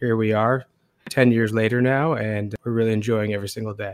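A man's medium-pitched, monotone, flat intonation at a moderate pace on a very clean recording with a silent background. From Portland, Maine. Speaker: food entrepreneur. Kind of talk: interview.

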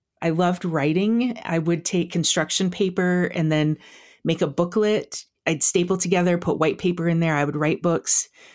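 Talking at a moderate pace with an American accent, a woman keeps a fairly low pitch, fairly even intonation and very even loudness in a very clean recording with a silent background. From South Dakota. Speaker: podcaster and food blogger. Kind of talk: casual interview.

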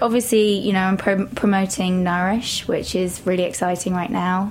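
Medium-pitched woman with an English accent, noticeable background noise around her. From England, Shropshire. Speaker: personal trainer and author. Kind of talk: interview. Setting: studio.

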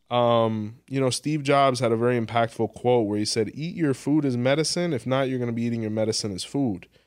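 A man speaks in a plain, everyday voice at a medium pitch, with ordinary pitch variation and hardly any pauses. The recording is very clean, with a silent background. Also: fairly quick pace. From Miami, Florida (Hialeah). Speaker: spiritual practitioner and podcaster. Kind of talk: interview.

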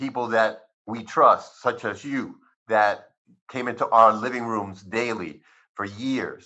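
Against a quiet background, a man with a Spanish accent speaks at a medium pitch in a bright, sharp tone with fairly even intonation. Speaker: cannabis physician. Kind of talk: interview. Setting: video call.

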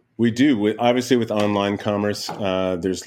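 An American accent carries ordinary pitch variation. Behind it, the background is silent in a very clean recording. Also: man. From Michigan, US Midwest. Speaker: specialty food manager at a deli. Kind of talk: casual interview.

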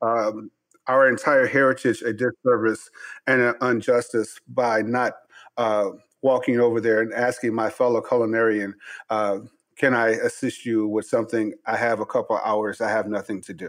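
Against a quiet background, a man speaks at a medium pitch in a monotone, flat intonation. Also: moderate pace. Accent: American. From Chicago. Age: 50s. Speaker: chef and podcast host. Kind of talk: interview.

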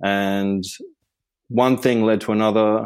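In an Australian accent, a man with a fairly low pitch speaks at a fairly slow pace on a very clean recording with a silent background. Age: 50s. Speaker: meditation teacher and spiritual mentor. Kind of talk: casual interview.

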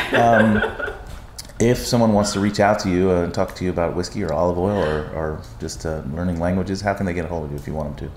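Over noticeable background noise, a man with a very deep, low pitch speaks at a very fast pace with ordinary pitch variation. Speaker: podcast host and bar industry figure. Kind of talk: casual interview chat. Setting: makeshift portable studio at a conference.

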